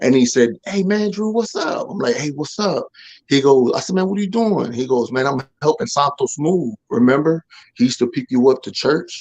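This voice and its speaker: A loud man with an American accent, fairly high in pitch, with very wide pitch swings, an animated tone and a moderate pace. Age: 40s. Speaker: former drug dealer turned ministry speaker. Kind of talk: testimony. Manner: animated storytelling.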